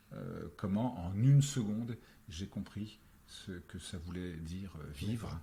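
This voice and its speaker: A man speaks at a very slow pace with a very deep, low pitch. His tone is dark and mellow and somewhat breathy. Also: lively intonation, big swings in loudness. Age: 60s. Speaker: actor, screenwriter and novelist. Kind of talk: interview conversation. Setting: face-to-face on Paris boulevards. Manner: hesitant, many fillers.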